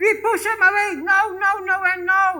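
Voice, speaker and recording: A bright, sharp tone in a man's raised, projected voice. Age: 70s. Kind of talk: homily. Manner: emphatic, repetitive.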